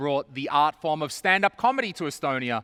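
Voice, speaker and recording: On a very clean recording with a silent background and a dry, close sound with no echo, a man with an Australian accent talks at a fairly quick pace in a bright, sharp tone with a fairly high pitch. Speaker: event host, comedian. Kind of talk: live event hosting.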